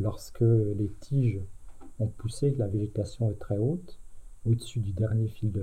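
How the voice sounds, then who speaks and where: Somewhat breathy, a man speaks at a fairly slow pace with a fairly low pitch and a dark, mellow tone. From France, Aube (Champagne). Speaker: retired teacher. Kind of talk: oral history interview. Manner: hesitant, with many fillers.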